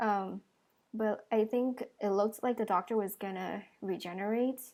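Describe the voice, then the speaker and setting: Against a silent background in a very clean recording, a woman talks at a moderate pace. Her pitch is medium and her intonation fairly even. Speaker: reaction video creator. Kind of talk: video reaction review.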